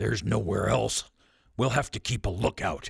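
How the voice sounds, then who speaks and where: Putting on a character voice, a man growls in a croaky, fairly low pitch at a moderate pace. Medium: read story. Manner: terse, gruff.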